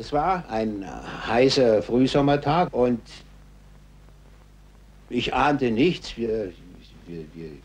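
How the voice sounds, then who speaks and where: At a very slow pace with long, frequent pauses, a man with a medium pitch uses lively intonation and big swings in loudness over noticeable background noise. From Germany. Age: 60s. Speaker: war veteran. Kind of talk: interview answer.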